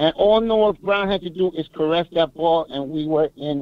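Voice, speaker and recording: In a normal speaking voice, the speaker goes at a fairly slow pace. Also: man. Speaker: caller. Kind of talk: call-in sports talk. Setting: phone call.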